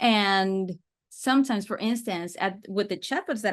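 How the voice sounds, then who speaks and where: A woman with a Spanish accent, medium in pitch, at a moderate pace with ordinary pitch variation, over a quiet background. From Mexico City, Mexico. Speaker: sales systems and AI chatbot consultant. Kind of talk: podcast interview.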